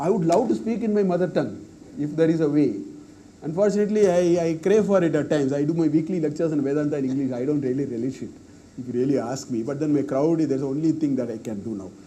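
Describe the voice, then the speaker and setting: At a very fast pace, a man with a Tamil accent talks in a dark, mellow tone, fairly high-pitched with lively intonation, amid audible room echo. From South India, Tamil-speaking. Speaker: professor. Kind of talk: Q&A after lecture. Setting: university auditorium.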